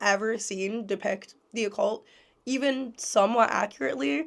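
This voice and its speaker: A woman talks at a moderate pace with a fairly high pitch. Vocal fry runs through her voice. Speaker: occultist YouTuber. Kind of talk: video essay monologue.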